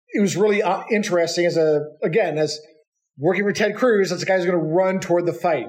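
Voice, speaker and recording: A high-pitched man's voice at a very fast pace with ordinary pitch variation. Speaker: political campaign consultant. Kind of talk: casual chat. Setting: at home.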